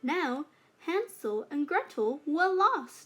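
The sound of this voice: A woman speaks at a slow pace with a high pitch. Her pitch swings widely.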